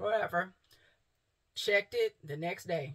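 Against a quiet background, a woman's voice comes through somewhat breathy. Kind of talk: casual vlog chat. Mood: relaxed, upbeat. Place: home room. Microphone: phone near.

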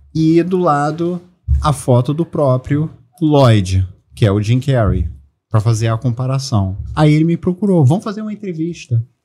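Very wide pitch swings mark speech at a moderate pace, with faint music in the background. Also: man, fairly high pitch for a man. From Brazil. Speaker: celebrity lookalike actor and comedian; celebrity lookalike actor, comedian. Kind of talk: casual chat. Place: studio. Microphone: studio mic.

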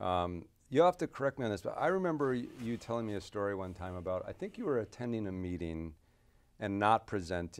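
A fairly low-pitched man at a fairly quick pace with lively intonation. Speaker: surgeon and interviewer; interviewer. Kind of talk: interview. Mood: warm, admiring. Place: office.

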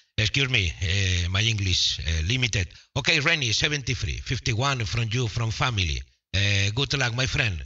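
Against a quiet background, a man with a Spanish accent talks with lively intonation and vocal fry. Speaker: amateur radio operator. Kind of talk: casual radio contact chat. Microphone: two way radio.

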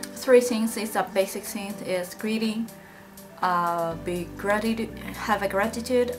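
The voice belongs to a woman. Clear music plays in the background. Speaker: vlogger living abroad. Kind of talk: casual vlog chat. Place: home room. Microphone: phone near.

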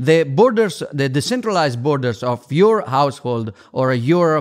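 Lively intonation from a man at a medium pitch and a moderate pace

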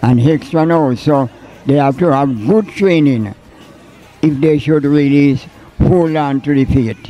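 A man with a Jamaican accent, fairly slow and at very even loudness, with ordinary pitch variation and long, frequent pauses. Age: 80s+. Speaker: church elder. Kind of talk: interview answer. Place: church. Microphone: handheld.

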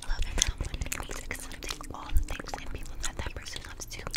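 Fairly quick whispering from a woman. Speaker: ASMR creator. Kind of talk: novel reading. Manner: whispered. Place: home room. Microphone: studio mic.

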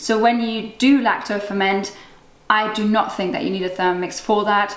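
A woman at a fairly quick pace with audible room echo. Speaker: cooking blogger. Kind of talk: product review. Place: kitchen.

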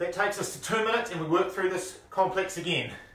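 Audible room echo surrounds a man's high voice as he speaks with fairly even intonation. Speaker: fitness instructor. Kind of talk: workout instruction. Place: garage.

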